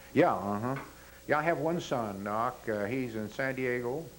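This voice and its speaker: Audible room echo surrounds a man who talks at a fairly slow pace in an American accent. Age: 80s+. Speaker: war veteran. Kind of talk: oral history interview. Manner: halting.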